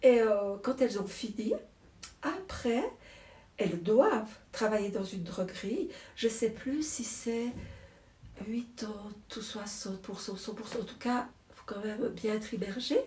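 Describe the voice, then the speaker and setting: A woman speaks very slowly in a fairly high voice, leaving long, frequent pauses. Her loudness swings widely. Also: ordinary pitch variation. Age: 60s. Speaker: druggist, shop owner. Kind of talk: interview.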